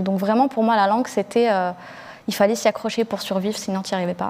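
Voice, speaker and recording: Her intonation fairly even, a woman at a medium pitch talks at a fairly quick pace. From Algeria (Blida) until age 8, then France. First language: Algerian Arabic (Darija) (speaking French). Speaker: book editor, rap journalist. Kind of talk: panel discussion. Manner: hesitant, many fillers.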